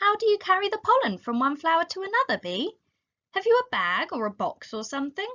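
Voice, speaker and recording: A woman performs a put-on character voice at an extremely high pitch. Her pitch swings very widely. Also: fairly quick pace. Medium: read story. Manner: curious, wondering.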